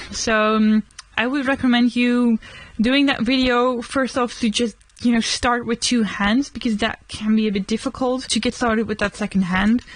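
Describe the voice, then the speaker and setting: A woman's fairly high voice with a Dutch accent, monotone, flat intonation, very even loudness and a moderate pace. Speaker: vlogger. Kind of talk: casual chat. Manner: casual.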